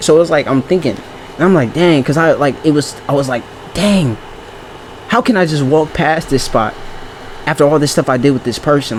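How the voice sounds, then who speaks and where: Noticeable background noise sits behind a man with a fairly high pitch. He talks very fast with lively intonation. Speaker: vlogger. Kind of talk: casual monologue. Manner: halting.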